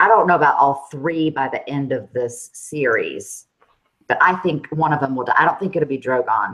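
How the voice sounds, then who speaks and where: A woman speaks in a Southern US accent. Her pitch is very deep and low, with ordinary pitch variation. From US South. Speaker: livestream co-host. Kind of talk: casual chat. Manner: slow, drawn-out syllables.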